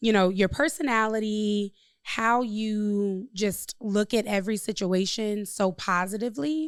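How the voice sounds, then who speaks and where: A woman in an ordinary speaking voice talks at a fairly slow pace with a fairly high pitch, ordinary pitch variation and very even loudness, on a very clean recording with a silent background. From Chicago. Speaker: podcast host, real estate broker and coach. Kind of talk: casual interview chat.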